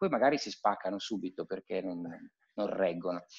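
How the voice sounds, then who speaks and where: Against a quiet background, a man with an unremarkable speaking voice talks at a fairly quick pace with ordinary pitch variation. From Piedmont, Italy. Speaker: cellist and conservatory teacher. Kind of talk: casual interview chat. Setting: live video call. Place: home room. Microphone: video call.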